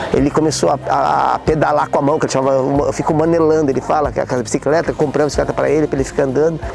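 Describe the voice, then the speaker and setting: Over noticeable background noise, a man talks very fast with hardly any pauses. His pitch is fairly high, his intonation fairly even and his loudness very even. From Brazil, Caraguatatuba, São Paulo state coast. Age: 60s. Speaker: son of local sports promoter. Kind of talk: interview testimony. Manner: halting, many repetitions.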